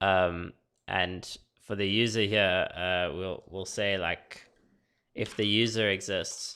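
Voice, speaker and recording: Flat and monotone, a man speaks at a very slow pace with a fairly low pitch and a bright, sharp tone. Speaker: software developer streaming coding. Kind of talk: live coding tutorial. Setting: live stream. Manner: casual, hesitant with many fillers; mumbling.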